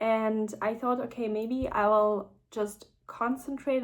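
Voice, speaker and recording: The speech is very slow. It comes from a woman with a non-native accent. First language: not English. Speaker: vlogger sharing personal experience. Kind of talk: casual personal vlog. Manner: hesitant, many fillers.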